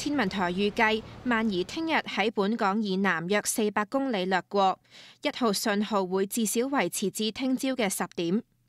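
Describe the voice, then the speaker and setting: A woman's unremarkable speaking voice at medium pitch, with very even loudness, ordinary pitch variation and a fairly slow pace, in a very clean recording with a silent background. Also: dry, close sound with no echo. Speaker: news reporter. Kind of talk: news report narration.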